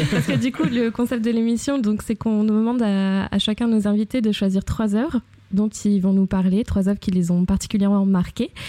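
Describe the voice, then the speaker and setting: Delivered at a fairly quick pace, an unremarkable speaking voice holds a very even loudness with ordinary pitch variation. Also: woman, medium pitch for a woman. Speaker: podcast host. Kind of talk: podcast intro and outro; casual interview. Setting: home apartment during heatwave.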